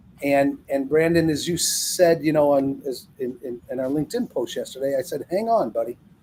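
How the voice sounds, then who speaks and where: Over noticeable background noise, a man speaks at a moderate pace with a fairly high pitch and ordinary pitch variation. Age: 60s. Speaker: business consultant, thought leader on distribution. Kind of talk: casual podcast chat.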